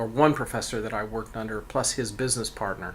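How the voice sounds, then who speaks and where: At a fairly quick pace, a man with an unremarkable speaking voice and medium pitch talks with fairly even intonation. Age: 60s. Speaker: cabinet maker and furniture designer. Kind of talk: interview. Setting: in his workshop. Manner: terse, short answers.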